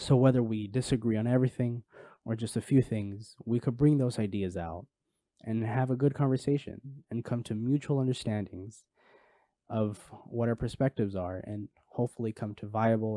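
Speaking at a moderate pace with an American accent, a man's dark, mellow tone comes through a dry, close sound with no echo over a quiet background. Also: medium pitch for a man. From Los Angeles area, California. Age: 20s. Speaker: podcast host, psychology student. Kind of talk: solo podcast monologue.

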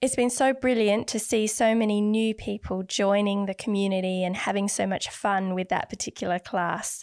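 Heard in a dry, close sound with no echo, a woman has an ordinary speaking voice, medium pitch, and fairly even intonation. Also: moderate pace. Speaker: artist and art podcast host. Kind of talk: casual chat. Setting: home recording.

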